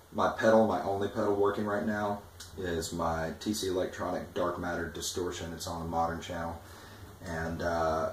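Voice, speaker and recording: In a room with audible echo and noticeable background noise, a man with a very deep, low pitch speaks at a moderate pace. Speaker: guitarist demoing gear. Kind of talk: product demo. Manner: animated.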